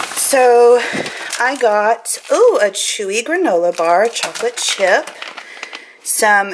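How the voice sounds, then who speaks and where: Noticeable background noise is present. Over it, the pitch leaps across a very wide range. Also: woman. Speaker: vlogger. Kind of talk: casual vlog. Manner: chatty, casual.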